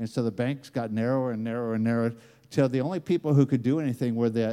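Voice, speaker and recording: Very fast male speech in an American accent, medium in pitch, dark and mellow in tone, with ordinary pitch variation. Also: very clean recording, silent background. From United States. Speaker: preacher. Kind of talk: sermon. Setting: church conference session. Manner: repetitive stammering restarts.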